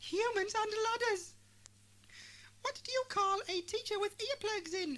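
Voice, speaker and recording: A woman performs a squeaky, put-on character voice at an extremely high pitch with ordinary pitch variation. She keeps a moderate pace broken by long, frequent pauses. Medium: read story. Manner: relentless, brisk.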